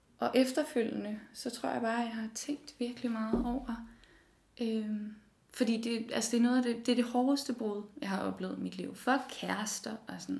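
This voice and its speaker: A woman's fairly high-pitched voice with fairly even intonation over noticeable background noise. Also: moderate pace. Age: 20s. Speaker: design student. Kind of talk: personal interview testimony.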